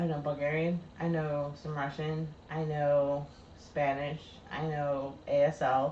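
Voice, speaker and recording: A woman speaks very slowly in a very deep, low, monotone, flat voice. Noticeable background noise and audible room echo surround her. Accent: American. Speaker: YouTube live show co-host. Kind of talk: casual chat. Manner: casual, conversational.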